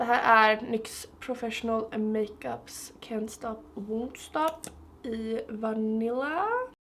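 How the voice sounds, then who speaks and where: Pitched fairly high, the woman's voice shows ordinary pitch variation. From Sweden, Stockholm. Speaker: beauty vlogger. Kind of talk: makeup tutorial. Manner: casual, chatty.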